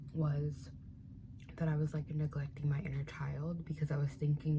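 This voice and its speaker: The voice is soft-spoken, somewhat breathy and dark, mellow in tone, moving at a fairly quick pace. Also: woman. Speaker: spiritual content creator. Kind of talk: casual ASMR eating chat to camera.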